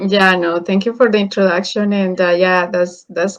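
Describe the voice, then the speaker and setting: The voice carries a Spanish accent and a monotone, flat intonation. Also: woman. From Colombia. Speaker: engineer and online business mentor. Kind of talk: interview. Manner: halting.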